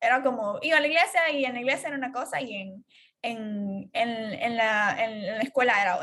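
Bright and sharp, a woman's high voice moves at a fairly quick pace. Her intonation is lively. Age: 20s. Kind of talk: casual chat.

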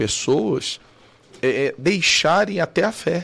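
A man's lively intonation comes through on a very clean recording with a silent background. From Cuiabá, Mato Grosso, Brazil. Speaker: bishop and podcast host. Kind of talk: casual chat.

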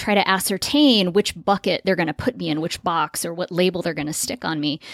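Talking very fast with an American accent, a woman comes through in a dry, close sound with no echo on a very clean recording against a silent background. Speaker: podcast host.

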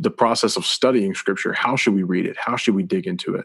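Using a normal speaking voice, a man with a fairly low pitch talks fairly quickly. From US South. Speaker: podcast host, church staff. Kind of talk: casual religious discussion.

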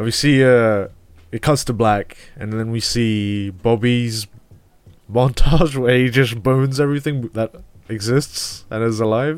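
A man in a plain, everyday voice talks at a medium pitch with fairly even intonation. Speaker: film podcast co-host. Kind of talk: casual film review chat. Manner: laid-back, laughing.

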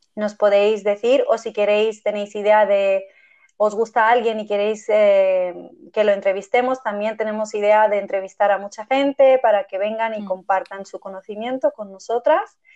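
A woman's dark, mellow tone, fairly high in pitch, at a moderate pace. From Armenia, raised mostly in Spain. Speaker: podcast host, yoga teacher. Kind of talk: casual chat.

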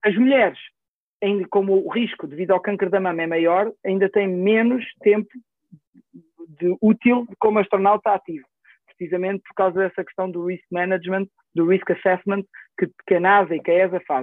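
With a European Portuguese accent, a man talks at a moderate pace in a high pitch, his intonation fairly even but his loudness swinging widely. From Portugal, Coimbra. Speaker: neurosurgeon and professor. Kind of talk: casual interview. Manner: halting, many repeated words.

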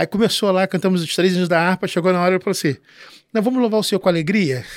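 On a very clean recording with a silent background, a man with a high pitch speaks at a very fast pace and ordinary pitch variation. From Rio de Janeiro, Baixada Fluminense (São João de Meriti). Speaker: pastor. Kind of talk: casual chat.

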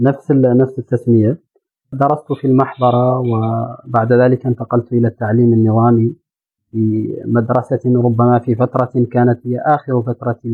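A man with a medium pitch speaks at a very slow pace in monotone, flat intonation. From Mauritania, Nouakchott. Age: 30s. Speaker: journalist and entrepreneur. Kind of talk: interview. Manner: formal.

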